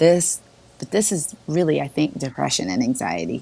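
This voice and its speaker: Noticeable background noise surrounds a woman speaking. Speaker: diversity and women's empowerment advocate. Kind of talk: casual chat. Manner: animated.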